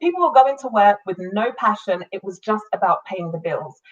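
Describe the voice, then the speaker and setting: The speaker is a woman. She has a British accent. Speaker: business coach and entrepreneur. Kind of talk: live-streamed business talk. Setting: live online video stream.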